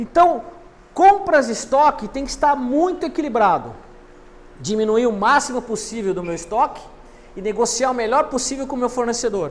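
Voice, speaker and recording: At a moderate pace, a man with an extremely high pitch speaks with lively intonation and long, frequent pauses. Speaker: university lecturer. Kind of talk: lecture.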